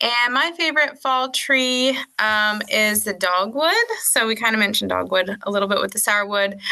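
A woman with an American accent speaks at a fairly slow pace, her fairly high voice bright and sharp in tone. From northern US. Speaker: park ranger. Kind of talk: casual chat.

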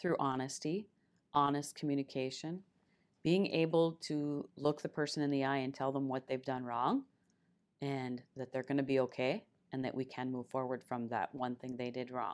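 Spoken with an Upper Midwest accent at a moderate pace and fairly even intonation, the clip is a very clean recording with a silent background. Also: woman, very deep, low pitch for a woman. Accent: Upper Midwest (Minnesota). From northern Minnesota (Esko). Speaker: senior military enlisted leader. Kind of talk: casual interview.

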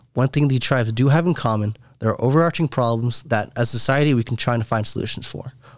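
Speaking very fast with hardly any pauses, a man uses a medium pitch and ordinary pitch variation on a very clean recording with a silent background. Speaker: software engineer. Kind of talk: interview answers.

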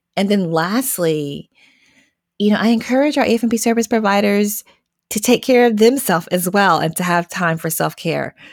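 In an American accent, a woman uses an ordinary speaking voice with ordinary pitch variation on a very clean recording with a silent background. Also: medium pitch for a woman, moderate pace. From US South. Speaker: social worker, program analyst. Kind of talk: conversational interview.

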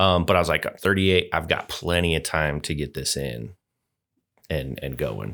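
Bright, sharp tone with vocal fry, ordinary pitch variation, and a moderate pace, on a very clean recording with a silent background. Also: man, very deep, low pitch for a man. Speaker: Air Force Reserve member. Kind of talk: casual interview chat.

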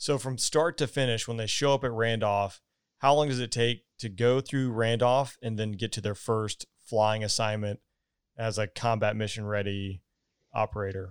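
With a Southern US accent, a man speaks at a moderate pace and medium pitch with fairly even intonation, the sound dry and close with no echo. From US South, Georgia. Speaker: podcast host, former fighter pilot. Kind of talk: interview.

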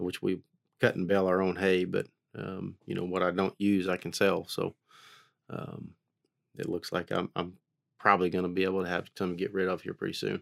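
A man with an American accent and a very deep, low pitch speaks in a monotone, flat intonation at a fairly quick pace with long, frequent pauses, in a dry, close sound with no echo on a very clean recording with a silent background. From Oklahoma (Haskell). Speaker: civil engineer and cattle rancher. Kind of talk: interview.

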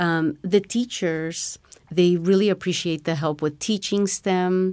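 With an American accent, a woman uses an ordinary speaking voice at a fairly low pitch and a fairly slow pace. The recording is very clean, with a silent background. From Mexico, then US from age six. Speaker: STEM program coordinator. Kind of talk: interview.

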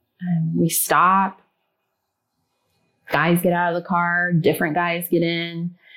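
Speaking very slowly with long, frequent pauses, a woman with an American accent uses a fairly low pitch and a bright, sharp tone in a flat monotone. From US Midwest, Ohio. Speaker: school teacher telling a kidnapping story. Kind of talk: testimony. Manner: hesitant, many fillers.

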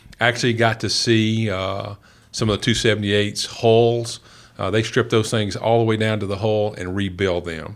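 A man speaks with a Southern US accent at a fairly slow pace. His intonation is monotone and flat. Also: fairly low pitch for a man. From rural West Tennessee. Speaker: senior military officer. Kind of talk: interview.

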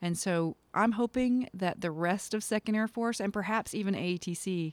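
This woman has an American accent and a plain, everyday voice, with ordinary pitch variation at a moderate pace. The recording is very clean with a silent background and a dry, close sound with no echo. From US South, eastern North Carolina. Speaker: military commander. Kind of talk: interview.

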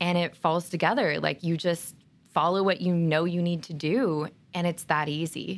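A woman speaks at a moderate pace and fairly low pitch, with fairly even intonation, in an unremarkable speaking voice. The recording is very clean, with a silent background. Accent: American. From Oregon. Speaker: military recruiter. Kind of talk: interview.

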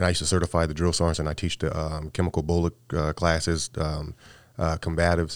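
A man with a very deep, low voice talks very fast with an American accent. His delivery is monotone and flat, in a dry, close sound with no echo. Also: very clean recording, silent background. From California. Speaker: Army master sergeant. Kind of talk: interview.

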